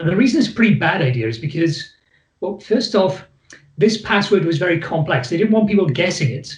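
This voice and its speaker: A man speaks with a Welsh accent and a high pitch. His intonation is lively and his pace fairly quick. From Wales. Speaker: psychologist. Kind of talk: presentation to host.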